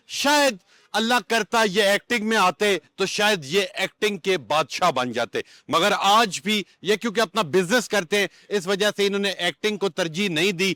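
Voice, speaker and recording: Projecting his raised, high-pitched voice with a bright, sharp tone, a man keeps his loudness very even in a dry, close sound with no echo. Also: ordinary pitch variation, very clean recording, silent background. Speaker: interviewer, channel host. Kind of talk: interview questions.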